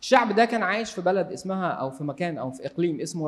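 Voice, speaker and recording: Lively intonation marks this man's speech. His pace is fairly quick. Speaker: Bible teacher. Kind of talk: Bible study lecture.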